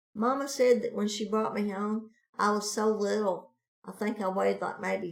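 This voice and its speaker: This woman has an ordinary speaking voice and an American accent. She talks at a moderate pace. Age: 60s. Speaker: family member telling life stories. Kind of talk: casual chat.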